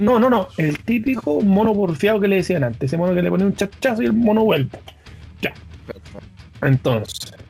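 Speaking with a Chilean accent, a man uses a high pitch and very wide pitch swings. His pace is moderate, broken by long, frequent pauses. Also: very even loudness. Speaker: podcast co-host. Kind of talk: casual chat.

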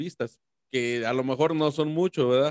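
At a moderate pace, a man with a plain, everyday voice speaks at a fairly high pitch with ordinary pitch variation, in a dry, close sound with no echo. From Mexico, San Luis Potosí. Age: 30s. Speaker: YouTuber. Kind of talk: casual interview.

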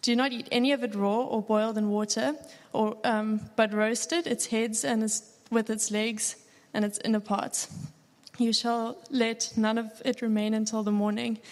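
A plain, everyday voice from a woman, moderate in pace and fairly high in pitch. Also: fairly even intonation. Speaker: scripture reader. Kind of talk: reading aloud. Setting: church.

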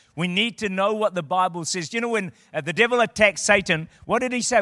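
Speaking at a very fast pace with hardly any pauses, a man uses a raised, projected voice that is high in pitch, bright and sharp, and animated in tone, with ordinary pitch variation, in a very clean, dry, close recording with a silent background and no echo. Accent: New Zealand. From New Zealand. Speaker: visiting preacher. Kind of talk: sermon. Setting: church.

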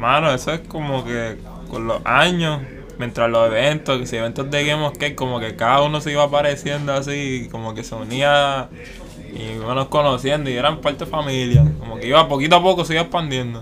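A man speaks at a fairly quick pace with fairly high pitch and fairly even intonation. Noticeable background noise runs behind him. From Puerto Rico, San Juan (Santurce). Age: 20s. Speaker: skateboarder. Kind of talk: casual interview.

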